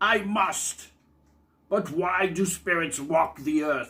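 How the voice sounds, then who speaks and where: A man speaks in a put-on character voice, pitched high for a man. He talks at a very slow pace. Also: ordinary pitch variation. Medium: read story.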